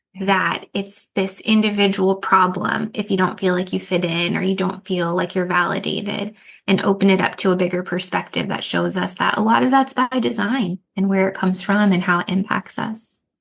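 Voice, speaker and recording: With an American accent, a woman talks at a moderate pace with hardly any pauses. She has an unremarkable speaking voice, a medium pitch and ordinary pitch variation. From US, Mexican and Ecuadorian family. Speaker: trauma therapist and author. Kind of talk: podcast interview.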